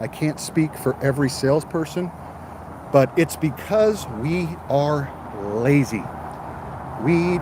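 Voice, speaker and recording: A man with an American accent, over noticeable background noise. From mixed US, last lived in Texas. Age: 50s. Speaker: car salesman. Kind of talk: livestream chat. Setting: outdoors at car dealership. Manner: casual, chatty.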